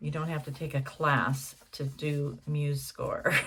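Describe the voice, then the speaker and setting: A woman speaks at a very slow pace in a very deep, low pitch. Her voice carries vocal fry, and her pitch varies in an ordinary way. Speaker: jazz singer and songwriter. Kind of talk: casual tutorial. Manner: halting.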